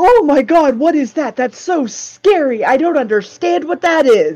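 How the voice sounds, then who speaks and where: Using a put-on character voice, a woman with a high pitch speaks at a moderate pace with very wide pitch swings. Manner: mockingly scared.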